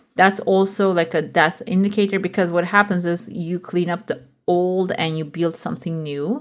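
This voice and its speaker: A woman at a medium pitch speaks at a moderate pace with ordinary pitch variation in an unremarkable speaking voice. The recording is very clean, the background silent. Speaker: tarot reader. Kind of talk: tarot reading. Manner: casual, with fillers.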